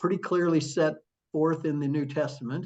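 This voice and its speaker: This man has a plain, everyday voice. His pitch is fairly high, and his intonation is fairly even. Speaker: author and former attorney, church member. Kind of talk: interview answer. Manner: warm, conversational.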